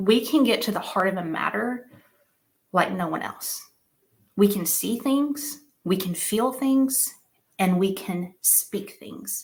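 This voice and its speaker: The speech is very slow and somewhat breathy, broken by long, frequent pauses. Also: woman, medium pitch for a woman, lively intonation. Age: 30s. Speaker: conference speaker, business coach. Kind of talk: keynote talk. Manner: animated.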